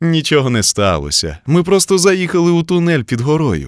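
A put-on character voice at a moderate pace. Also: man, fairly high pitch for a man, very clean recording, silent background. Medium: read story.

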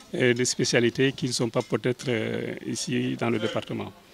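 With faint music in the background, a man talks at a moderate pace in a dry sound with no echo. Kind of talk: press interview answer. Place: street. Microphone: handheld.

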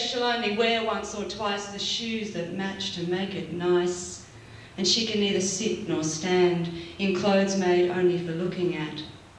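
Light background noise and audible room echo surround a woman whose medium pitch shows ordinary variation. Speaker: slam poet. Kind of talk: slam poetry performance, rhythmic spoken-word delivery to a live audience. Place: stage. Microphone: pa.

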